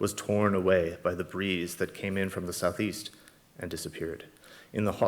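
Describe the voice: The intonation is fairly even. What we hear is plain reading aloud.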